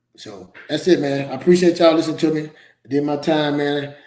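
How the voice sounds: A man talks at a moderate pace with ordinary pitch variation. His pitch is fairly high and his tone slightly mellow.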